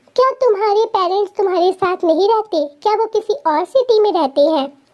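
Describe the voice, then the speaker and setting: Putting on a squeaky character voice, a woman talks at a moderate pace with lively intonation and an extremely high pitch. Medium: read story. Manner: warm, flirtatious.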